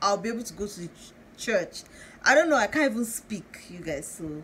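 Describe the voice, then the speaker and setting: A woman at a fairly quick pace, with light background noise. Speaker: vlogger. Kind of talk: casual vlog chat. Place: home room. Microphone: phone near.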